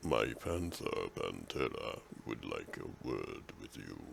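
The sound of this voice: A man puts on a character voice at an extremely high pitch, speaking at a fairly slow pace. Background noise is clearly audible.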